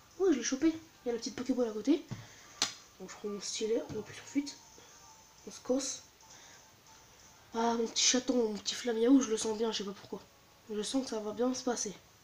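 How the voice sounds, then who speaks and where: The soft-spoken voice moves at a fairly quick pace, broken by long, frequent pauses, with big swings in loudness over noticeable background noise. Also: woman, high pitch for a woman, ordinary pitch variation. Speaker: gaming youtuber. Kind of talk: let's play commentary.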